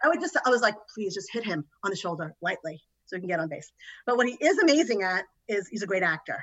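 A woman talks at a very fast pace in a medium pitch, her voice making very wide pitch swings. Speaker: host's mother. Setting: video call.

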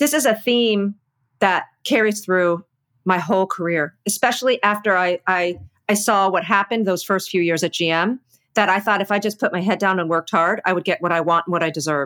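With an American accent, a woman talks at medium pitch and a fairly quick pace, with ordinary pitch variation and very even loudness, on a very clean recording with a silent background and a dry, close sound with no echo. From US East Coast. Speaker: corporate communications executive. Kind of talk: interview. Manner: energetic.

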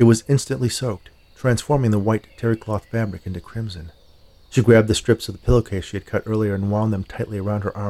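A natural reading voice holds its intonation fairly even.

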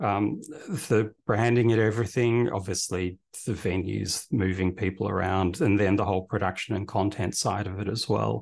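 This man's fairly low voice holds fairly even intonation at a moderate pace. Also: quiet background. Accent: Australian. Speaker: events company director. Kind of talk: interview.

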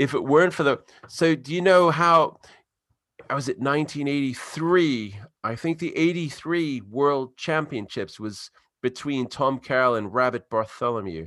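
An ordinary speaking voice with an American accent moves at a moderate pace with lively intonation. The recording is very clean and the background silent. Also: man, fairly high pitch for a man. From US East Coast. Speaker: podcast host. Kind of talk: casual podcast chat. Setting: London, now lives there.

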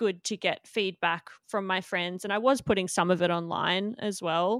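On a very clean recording with a silent background, a woman with an Australian accent speaks at a medium pitch in a dry, close sound with no echo. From Australia, Melbourne. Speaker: tattoo artist. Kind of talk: casual interview.

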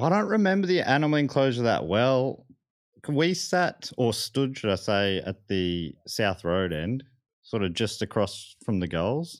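A medium-pitched man in an Australian accent, fairly slow, with very wide pitch swings, on a very clean recording with a silent background. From Melbourne, Australia (Moorabbin). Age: 30s. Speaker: comedian and podcaster. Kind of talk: casual chat.

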